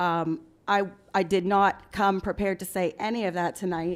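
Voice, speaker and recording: Her intonation is monotone and flat as the woman speaks. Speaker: public commenter at town meeting. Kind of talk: public comment at council meeting. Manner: halting, many ums.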